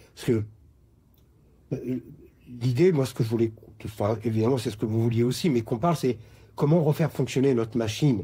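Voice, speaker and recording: Somewhat breathy and dark, mellow in tone, at a fairly quick pace with long, frequent pauses and ordinary pitch variation. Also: man, medium pitch for a man. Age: 60s. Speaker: retiree sharing his story. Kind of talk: testimony.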